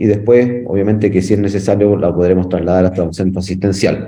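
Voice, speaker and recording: Moving at a fairly quick pace, a man speaks with a dark, mellow tone. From Chile. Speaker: firefighter instructor. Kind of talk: lecture. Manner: halting, many fillers.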